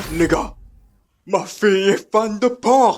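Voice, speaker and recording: A man speaks at a fairly slow pace in a put-on character voice, his pitch high and his intonation fairly even. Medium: fan dub. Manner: awkward, overly proud.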